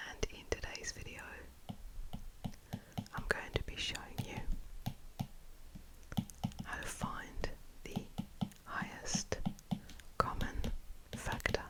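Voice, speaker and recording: Whispering at a very slow pace, a woman leaves long, frequent pauses, her loudness swinging widely amid noticeable background noise. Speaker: math teacher / tutor. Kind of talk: ASMR math lesson. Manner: whispered, soft-spoken.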